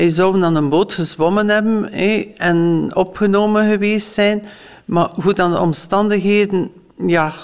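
Delivered in an unremarkable speaking voice, the speech moves at a fairly slow pace with fairly even intonation and very even loudness. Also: woman, medium pitch for a woman. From West Flanders, Belgium. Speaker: former foster parent. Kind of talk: interview testimony.

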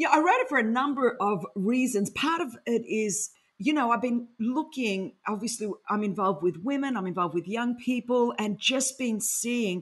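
With an Australian accent, a woman speaks at a moderate pace in a fairly high pitch. Her intonation is lively, and the background is quiet. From Sydney, Australia. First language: Greek. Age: 50s. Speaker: author and speaker. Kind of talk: interview. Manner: animated.

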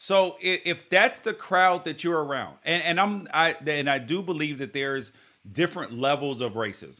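Speaking with an unremarkable speaking voice, a man with a fairly high pitch and lively intonation keeps a moderate pace on a very clean recording with a silent background. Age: 30s. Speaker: podcast host. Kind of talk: casual chat.

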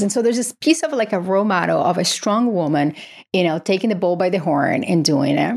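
A woman with a Portuguese accent, fairly quick pace, and very wide pitch swings. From Brazil. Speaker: psychiatry professor and author. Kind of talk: interview.

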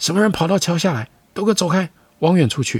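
A man puts on a character voice pitched high for a male. He talks at a fairly quick pace with music playing behind him. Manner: shouting, ordering people away.

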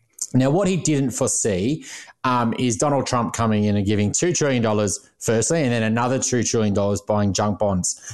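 A man with an Australian accent, medium pitch, ordinary pitch variation, very even loudness and a fairly quick pace. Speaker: financial planner and podcast co-host. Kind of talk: interview.

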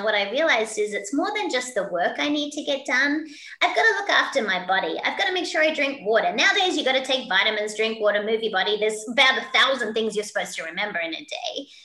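A woman's raised, projected voice in an Australian accent, high-pitched and very fast, with very wide pitch swings, audible room echo and noticeable background noise. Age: 50s. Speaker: keynote speaker and leadership coach. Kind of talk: interview. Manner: animated.

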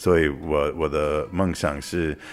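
A man with an English accent speaks at a fairly slow pace with a very deep, low pitch and fairly even intonation. Music plays in the background. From New York, US. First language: English (speaking Chinese). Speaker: tea entrepreneur. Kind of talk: interview testimony. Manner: halting.

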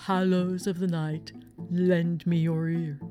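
A put-on character voice at a middle pitch moves at a fairly slow pace, with clear music in the background. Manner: spooky, mystical.

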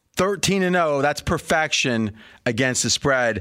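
Fairly high male voice, moderate pace and ordinary pitch variation. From US Midwest. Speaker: sports betting radio host. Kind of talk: sports talk show. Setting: studio.

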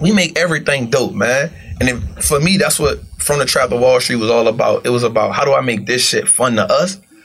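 Noticeable background noise sits under the voice. The intonation is lively while the loudness stays very even. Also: man, fairly quick pace. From US South, New Orleans. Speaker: former street hustler turned investor. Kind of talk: casual interview.

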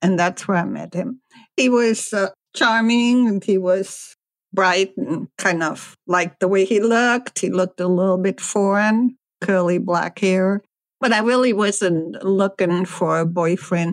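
In a very clean recording with a silent background, a woman with a plain, everyday voice and a medium pitch speaks at a fairly slow pace. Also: ordinary pitch variation. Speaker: former bank teller. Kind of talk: interview testimony.

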